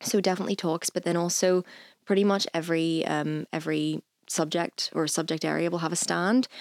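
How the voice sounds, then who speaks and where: On a very clean recording with a silent background and a dry, close sound free of echo, a woman with a Northern Irish accent speaks in a fairly low, flat monotone. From Northern Ireland, Lisburn. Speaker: university student. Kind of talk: casual chat.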